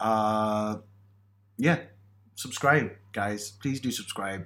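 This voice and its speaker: Here a man speaks with a British accent. His pitch sits fairly low. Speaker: podcast co-host. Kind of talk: casual chat. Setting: in person, sharing one microphone.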